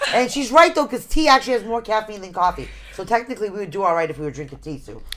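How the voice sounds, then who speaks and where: With an animated tone, a woman at a fairly high pitch makes very wide pitch swings and big swings in loudness over noticeable background noise. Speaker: paranormal radio show co-host. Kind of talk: casual chat.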